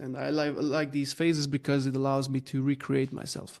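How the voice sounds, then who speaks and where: A man speaks in a Slovenian accent at a fairly high pitch. His moderate pace sits over a quiet background. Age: 30s. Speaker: growth consultant. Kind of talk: podcast interview. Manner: halting, many fillers.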